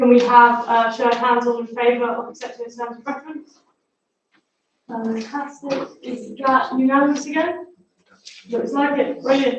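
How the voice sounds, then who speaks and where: A woman speaks quietly at a high pitch, in a monotone, flat intonation. Her loudness swings a lot, and the room echo is audible. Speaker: council meeting chair. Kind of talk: formal meeting chairing. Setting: council chamber, livestreamed. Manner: fast.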